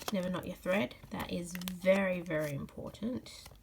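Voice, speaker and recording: A woman with an Australian accent speaks at a fairly slow pace. Her voice is somewhat breathy and medium in pitch. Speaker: cross stitch crafter. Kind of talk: casual craft tutorial talk.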